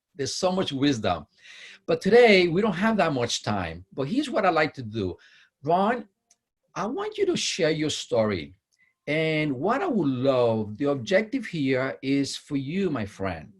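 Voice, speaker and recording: Very wide pitch swings at a fairly slow pace, somewhat breathy. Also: man, fairly high pitch for a man. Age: 50s. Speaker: interview host. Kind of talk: interview. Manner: enthusiastic.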